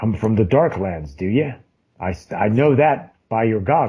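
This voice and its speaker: The man puts on a character voice, pitched in the middle range. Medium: actual play. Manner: throat-clearing, evasive.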